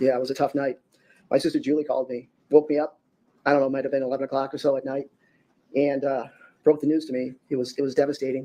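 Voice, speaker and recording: A man in an American accent, fairly high in pitch yet dark and mellow in tone, flat and monotone, very fast between long, frequent pauses. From Wisconsin, US Midwest. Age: 60s. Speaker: victim's brother, witness. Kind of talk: court testimony. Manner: halting, many repetitions.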